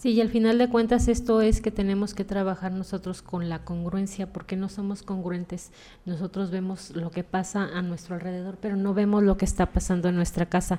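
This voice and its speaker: A woman's medium-pitched voice, dark and mellow, monotone and flat, at a fairly quick pace with hardly any pauses. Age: 50s. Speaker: podcast host. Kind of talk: casual chat.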